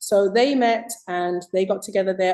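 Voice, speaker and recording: With a British accent, a woman speaks at a medium pitch. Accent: UK. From Zimbabwe. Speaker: author. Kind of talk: interview.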